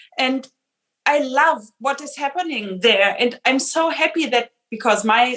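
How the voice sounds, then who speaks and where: A woman with a German accent talks at a fairly slow pace in a high pitch, with ordinary pitch variation. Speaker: film director. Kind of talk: panel discussion.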